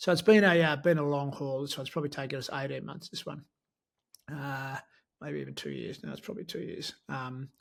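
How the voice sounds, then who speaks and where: Speaking at a fairly quick pace with an Australian accent, a man uses a fairly high pitch with ordinary pitch variation and big swings in loudness, on a very clean recording with a silent background. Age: 70s. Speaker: sports medicine professor. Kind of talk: interview. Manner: hesitant, many fillers.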